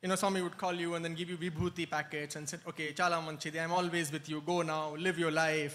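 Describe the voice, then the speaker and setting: Bright and sharp in tone, a man's high voice races along at a very fast pace. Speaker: spiritual speaker sharing devotee experiences. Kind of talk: talk at a spiritual retreat.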